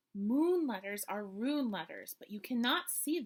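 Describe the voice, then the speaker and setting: A put-on character voice from a woman, pitched fairly high, delivered at a moderate pace. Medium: read story. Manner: measured, stately.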